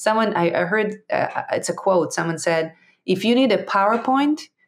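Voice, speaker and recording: With an Israeli accent, a woman talks at a moderate pace with ordinary pitch variation. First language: Hebrew. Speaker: entrepreneur and public speaker. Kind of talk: interview conversation. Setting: online audio room. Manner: halting.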